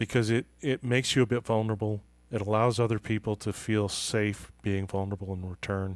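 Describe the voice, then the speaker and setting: Fairly quick speech from a man with a fairly low voice and fairly even intonation, in a very clean recording with a silent background. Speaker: author and leadership trust consultant. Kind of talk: podcast interview.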